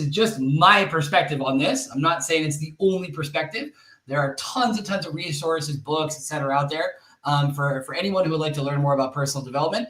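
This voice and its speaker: A man with an American accent talks at a very fast pace over noticeable background noise. His pitch is fairly high, with ordinary variation. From northern California. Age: 30s. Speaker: tech community leader and speaker. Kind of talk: webinar talk. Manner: frequent fillers, um and uh.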